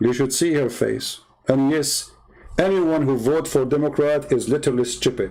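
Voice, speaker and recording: A man with an Arabic accent speaks at a fairly high pitch for a man, his tone dark and mellow and his loudness very even. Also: moderate pace. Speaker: religious debater, livestreamer. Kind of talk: livestream rant. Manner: animated, heated.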